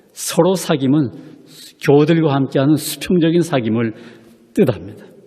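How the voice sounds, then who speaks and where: A man's fairly high voice rises and falls with lively intonation at a moderate pace, with noticeable background noise behind it. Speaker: pastor. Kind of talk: sermon.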